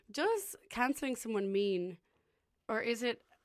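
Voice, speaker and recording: A woman talks with an Irish accent. Her pitch varies in an ordinary way. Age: 20s. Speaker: student radio host. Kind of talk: casual chat. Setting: radio station studio. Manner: animated.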